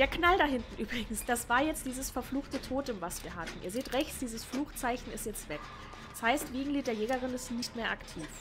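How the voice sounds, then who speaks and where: Lively intonation from a high-pitched woman at a fairly quick pace, with noticeable background noise. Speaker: gaming streamer. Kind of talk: commentated gameplay. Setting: home recording, gaming setup.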